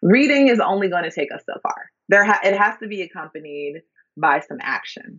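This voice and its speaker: With an American accent, a woman speaks in a plain, everyday voice at medium pitch. Her intonation is lively, her pace fairly quick, and her loudness swings a lot. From US Midwest (Minneapolis, Minnesota). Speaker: scholar and eco-critic. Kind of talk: interview conversation.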